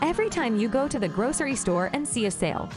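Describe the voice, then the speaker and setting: Music plays in the background as a woman talks at a fairly quick pace. Her pitch swings very widely. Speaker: English teacher. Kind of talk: educational lesson to camera.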